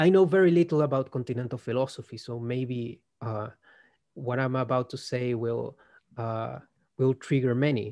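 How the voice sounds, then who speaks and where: Against a quiet background, a man with a Spanish accent speaks at medium pitch and a moderate pace in a dark, mellow tone. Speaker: philosophy researcher. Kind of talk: casual conversation, interview. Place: home room. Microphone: video call.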